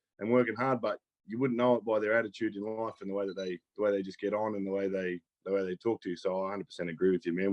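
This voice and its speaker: A man with an Australian accent and a fairly low pitch talks at a very fast pace. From Australia, New South Wales. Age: 20s. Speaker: pro bodybuilder. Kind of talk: casual chat.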